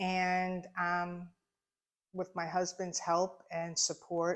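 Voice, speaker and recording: A woman with an American accent speaks at a very slow pace in a fairly low pitch with monotone, flat intonation, in a very clean recording with a silent background. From US, Long Island, New York. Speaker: shop owner. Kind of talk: casual interview. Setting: in her shop.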